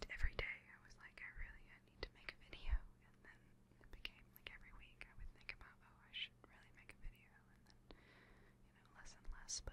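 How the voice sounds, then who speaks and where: A soft-spoken woman whispers at a fairly quick pace. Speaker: vlogger. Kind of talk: casual personal vlog talk. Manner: soft close-mic whisper. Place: home room. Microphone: studio mic.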